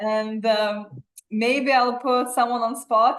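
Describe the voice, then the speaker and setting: Speaking with a Lithuanian accent, a woman uses a fairly high pitch and fairly even intonation at a fairly slow pace. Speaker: fitness coach and event host. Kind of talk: casual chat.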